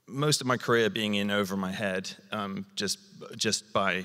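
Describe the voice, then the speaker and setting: A man with a British accent has a very deep, low voice. His tone is bright and sharp, with fairly even intonation. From South Wales. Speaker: TV and film director. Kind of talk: onstage interview. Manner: halting, many fillers and repeats.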